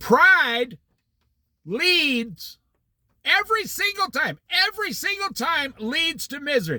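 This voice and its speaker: A man's raised, projected voice with an American accent, an animated, bright, sharp tone and very wide pitch swings. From Iowa, US Midwest. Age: 60s. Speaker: Bible study teacher. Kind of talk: Bible study talk.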